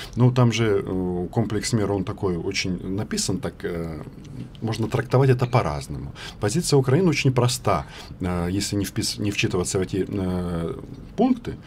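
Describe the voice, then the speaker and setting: At a moderate pace, a man talks at a fairly low pitch with lively intonation and long, frequent pauses. Light background noise is present. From Ukraine. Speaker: journalist, news agency correspondent. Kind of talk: radio interview, political debate. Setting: radio studio. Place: studio. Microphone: studio mic.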